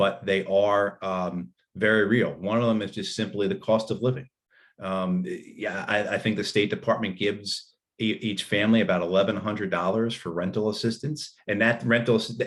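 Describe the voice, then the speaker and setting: In a very clean recording with a silent background, a man with a New Jersey accent talks at a moderate pace in a fairly low voice with fairly even intonation. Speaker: panelist on US foreign policy. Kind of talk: conference talk. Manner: halting, many fillers and repetitions.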